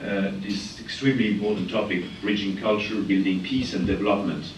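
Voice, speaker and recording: A man with a very deep, low voice speaks in a room with audible echo. Noticeable background noise runs underneath. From France. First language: French. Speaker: international organization advisor, keynote speaker. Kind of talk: keynote speech. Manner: halting, many fillers.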